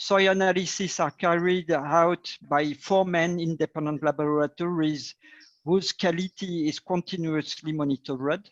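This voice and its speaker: A speaker with a French accent talks at a fairly slow pace, with fairly even intonation. The sound is dry and close with no echo, and the background is quiet. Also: man. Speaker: agtech company director. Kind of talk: panel discussion. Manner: halting.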